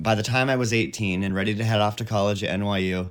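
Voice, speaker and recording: This man has a plain, everyday voice with an American accent and fairly low pitch. He talks at a fairly quick pace with fairly even intonation on a very clean recording with a silent background. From Western Washington. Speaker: shelter worker, recovering addict. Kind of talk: personal storytelling. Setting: recorded at home.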